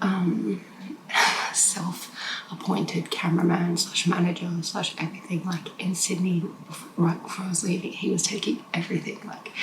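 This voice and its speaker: A woman whispers with audible room echo. Noticeable background noise runs under her voice. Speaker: vlogger. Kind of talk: casual vlog talk to camera. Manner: whispering; hesitant, many fillers.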